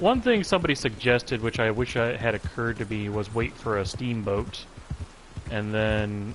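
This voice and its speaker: A man with a fairly low pitch speaks at a moderate pace and with fairly even intonation over noticeable background noise. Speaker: gaming livestreamer. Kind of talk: live gameplay commentary. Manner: stutters at times; casual, conversational.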